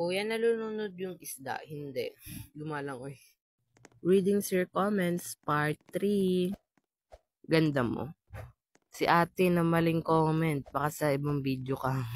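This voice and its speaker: The sound is dry and close with no echo as a man speaks in a high pitch. His pace is very slow, and his pitch varies in an ordinary way. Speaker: gaming streamer. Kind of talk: reading and answering viewer comments. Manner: playful, jokey.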